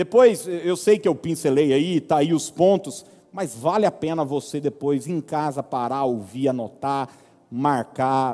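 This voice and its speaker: Using lively intonation, a man with a dark, mellow tone speaks at a fairly slow pace. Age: 30s. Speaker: pastor. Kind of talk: sermon.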